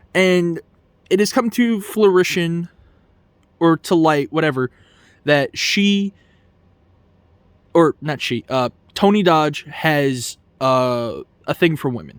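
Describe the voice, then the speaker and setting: Putting on a character voice, a man mumbles at a high pitch and a fairly slow pace with lively intonation and long, frequent pauses, the sound dry and close with no echo on a very clean recording with a silent background. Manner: stuttering and mumbling.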